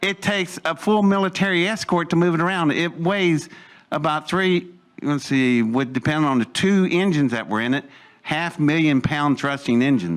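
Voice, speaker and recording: A man with an American accent at a moderate pace, with ordinary pitch variation and very even loudness. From West Virginia. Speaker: storyteller speaker. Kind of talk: talk to an audience. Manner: animated.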